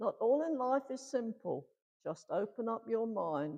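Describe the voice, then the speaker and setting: A woman speaks fairly slowly at a fairly high pitch, with a dark, mellow tone, vocal fry and very wide pitch swings. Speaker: church member giving reading. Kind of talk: reading aloud. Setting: village hall service with congregation.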